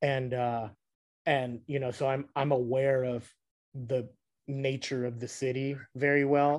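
A man with an American accent speaks at a medium pitch. His intonation is monotone and flat, over a quiet background. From Los Angeles, US (South Whittier). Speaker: hardcore punk band musician. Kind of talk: casual interview. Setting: video call.

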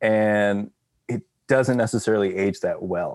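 At a fairly slow pace, a man speaks in a normal speaking voice with a medium pitch. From Texas. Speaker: orchestral clarinetist. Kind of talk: casual chat.

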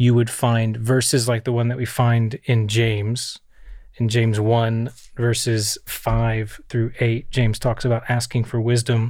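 In a very clean recording with a silent background, a man with an American accent talks at a fairly slow pace in a flat monotone at medium pitch, his loudness very even. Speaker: pastor. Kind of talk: casual chat. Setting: studio.

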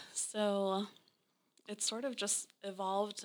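Using a plain, everyday voice, a woman with an American accent speaks at medium pitch with fairly even intonation. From Naples, Florida (US South). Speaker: interior designer. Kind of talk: interview. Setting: design studio.

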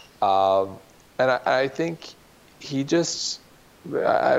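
A man's medium-pitched voice with lively intonation, against noticeable background noise. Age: 40s. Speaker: wellness media entrepreneur. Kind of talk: casual interview.

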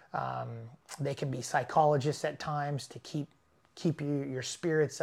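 A man with a Californian accent and a fairly high pitch, fairly even intonation at a moderate pace, in a very clean recording with a silent background. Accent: Californian American. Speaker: off-road racing driver. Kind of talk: casual interview. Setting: in person.

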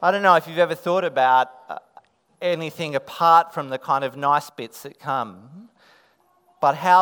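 With an Australian accent, a man talks at a moderate pace in a fairly high pitch, his bright, sharp tone rising and falling a lot in loudness. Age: 40s. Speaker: pastor. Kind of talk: children's Christmas reenactment; sermon.

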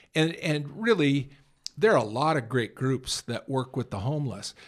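An American-accented man with an ordinary speaking voice talks at a moderate pace and a fairly high pitch on a very clean recording with a silent background. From San Francisco area, California. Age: 60s. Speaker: homeless mission director. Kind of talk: casual interview. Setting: studio.

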